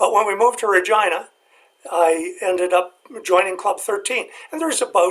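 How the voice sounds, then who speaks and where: With a Canadian accent, a man speaks at a fairly quick pace in a high pitch with ordinary pitch variation. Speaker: retired biologist. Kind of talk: casual interview.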